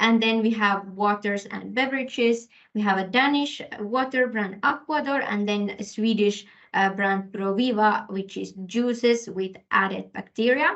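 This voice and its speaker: Her voice is a normal speaking voice, fairly high-pitched, with ordinary rise and fall as the woman talks at a fairly slow pace. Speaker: corporate sustainability specialist. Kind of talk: webinar presentation. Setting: online webinar.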